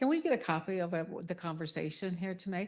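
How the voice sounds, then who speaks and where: A soft-spoken woman with a fairly low pitch talks against a quiet background. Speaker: political candidate. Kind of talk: forum speech. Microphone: handheld mic, held close after prompting.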